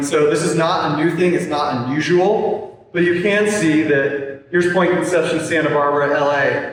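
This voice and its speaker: Noticeable background noise and audible room echo fill this clip. A man speaks with a fairly high pitch and fairly even intonation. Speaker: forester. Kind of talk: community presentation.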